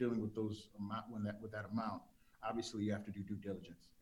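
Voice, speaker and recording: A man with an American accent talks at a very fast pace. Audible room echo surrounds his voice. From South Central Los Angeles. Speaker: TV executive producer. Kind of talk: interview.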